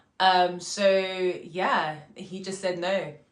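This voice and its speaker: Audible room echo surrounds a woman at medium pitch speaking in a London accent. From UK, Congolese heritage. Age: 20s. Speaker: actor, drama school graduate. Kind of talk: casual vlog monologue. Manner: casual, filler-heavy.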